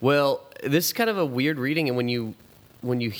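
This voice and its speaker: A man speaks, and his pitch rises and falls in an ordinary way. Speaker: youth minister. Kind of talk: casual chat. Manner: fast.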